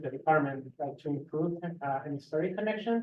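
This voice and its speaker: A moderate pace in a Spanish accent. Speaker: graduate student. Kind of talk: panel discussion. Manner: hesitant with fillers.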